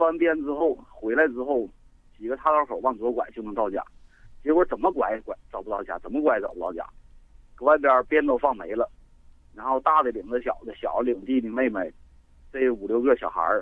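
A man speaks with a northeastern Chinese accent, using ordinary pitch variation and leaving long, frequent pauses. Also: medium pitch for a man, fairly quick pace. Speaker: caller. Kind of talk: phone-in storytelling. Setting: phone call.

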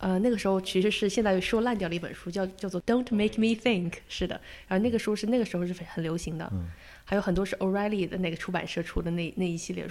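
Delivered very fast, the voice holds a fairly even intonation throughout. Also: woman, medium pitch for a woman. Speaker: product designer. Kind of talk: interview conversation. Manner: halting, many fillers.

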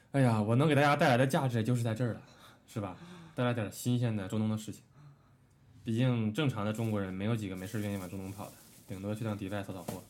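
The speech runs at a very fast pace with ordinary pitch variation and audible room echo. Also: man, fairly low pitch for a man. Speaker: podcast co-host. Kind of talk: casual chat.

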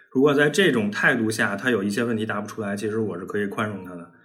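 Music plays in the background while a man talks. He goes at a fairly quick pace with ordinary pitch variation. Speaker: data scientist, podcast co-host. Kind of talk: casual chat, sharing experience.

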